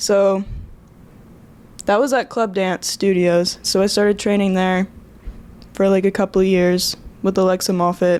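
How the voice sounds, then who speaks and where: At a moderate pace, a medium-pitched woman talks in a flat monotone with very even loudness and long, frequent pauses. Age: 20s. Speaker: ballet dancer. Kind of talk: casual chat.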